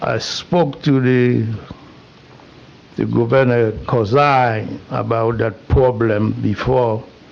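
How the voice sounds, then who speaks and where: A man speaks at a medium pitch and a very slow pace, with long, frequent pauses over noticeable background noise. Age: 80s+. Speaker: public commenter at council meeting. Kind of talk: public comment. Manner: halting.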